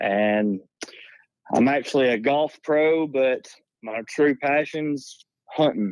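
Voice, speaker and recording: A man's fairly high voice with a Southern US accent, very slow with long, frequent pauses and ordinary pitch variation. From North Alabama. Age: 30s. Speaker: golf teaching pro and hunter. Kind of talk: casual chat. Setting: phone call.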